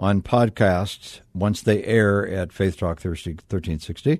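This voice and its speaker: Against a quiet background, a dark, mellow tone moves at a fairly slow pace. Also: man. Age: 70s. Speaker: radio host. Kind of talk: radio interview.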